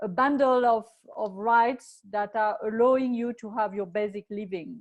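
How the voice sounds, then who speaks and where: In a French accent, a woman speaks at a moderate pace with a fairly high pitch and fairly even intonation. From France. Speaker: moderator. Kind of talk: panel discussion.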